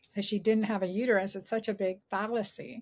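Speaking at a very fast pace, a woman keeps her intonation fairly even. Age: 50s. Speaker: gynecologist and author. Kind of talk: interview. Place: home room.

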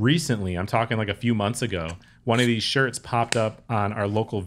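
The voice carries an American accent and ordinary pitch variation over light background noise. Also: man. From US Upper Midwest, Minnesota/Wisconsin area. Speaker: podcast host. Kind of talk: casual interview chat. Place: home room. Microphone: studio mic.

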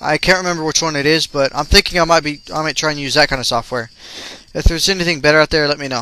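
A man talks very fast at a fairly high pitch for a man. Noticeable background noise runs underneath. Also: fairly even intonation. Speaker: gaming video ranter. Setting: home recording while playing a video game.

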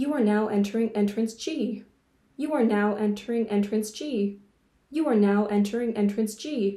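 A woman puts on a robotic character voice at a fairly high pitch and moderate pace, with a slight echo. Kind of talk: literary reading. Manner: mellifluous, monotone, repetitive.

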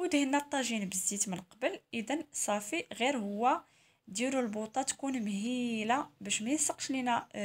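A woman with a Moroccan accent, high in pitch, at a moderate pace and with lively intonation. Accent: Moroccan Arabic (Darija). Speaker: cooking channel host. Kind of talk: cooking tutorial. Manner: casual, chatty.

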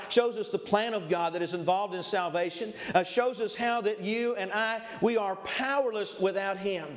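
A man's high-pitched voice at a moderate pace, with ordinary pitch variation and hardly any pauses. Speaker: preacher. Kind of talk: sermon. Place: church.

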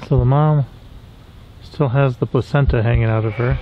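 A man with a medium-pitched voice talks at moderate speed, keeping his intonation fairly even.

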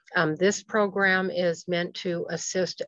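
A woman speaks at a fairly slow pace, and the sound is dry with no echo. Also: quiet background. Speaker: presenter. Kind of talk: webinar presentation. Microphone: webcam.

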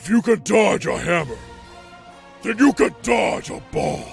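A man's cartoonish character voice at a high pitch and fairly slow pace, with clear music in the background. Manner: angry, commanding.

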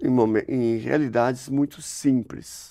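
This man talks at a very slow pace with fairly even intonation. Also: quiet background. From northern Paraná, Brazil. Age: 60s. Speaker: priest. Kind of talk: interview; interview answer. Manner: halting. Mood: warm, thoughtful. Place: hall. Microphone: lapel.

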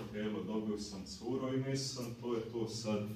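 Amid light background noise and audible room echo, a man talks at a fairly slow pace with fairly even intonation. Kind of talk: personal testimony. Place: meeting room. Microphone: camera far.

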